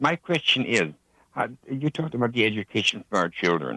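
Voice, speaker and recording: Using a bright, sharp tone with vocal fry, a man talks at a moderate pace and medium pitch with very wide pitch swings, in a dry, close sound with no echo. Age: 60s. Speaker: caller. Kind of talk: call-in question. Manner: halting, repetitive.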